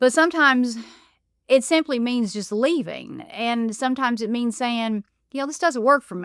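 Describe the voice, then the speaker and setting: With an Appalachian accent, a woman speaks at a fairly high pitch with lively intonation. The sound is dry and close with no echo, in a very clean recording with a silent background. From Appalachia, USA. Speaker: podcast host. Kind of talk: podcast monologue.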